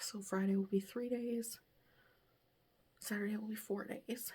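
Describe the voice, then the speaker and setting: Fairly slow, somewhat breathy speech from a woman at medium pitch, with a dark, mellow tone and monotone, flat intonation. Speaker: lifestyle vlogger. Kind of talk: casual vlog chat. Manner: conversational, chatty.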